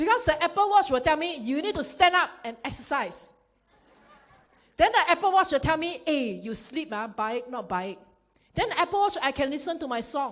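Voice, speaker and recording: This woman has a high voice with a Singaporean accent. Her tone is animated, with very wide pitch swings. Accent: Singaporean English (Singlish). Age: 40s. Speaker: network marketing speaker. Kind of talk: motivational business talk. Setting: stage with audience. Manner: fast.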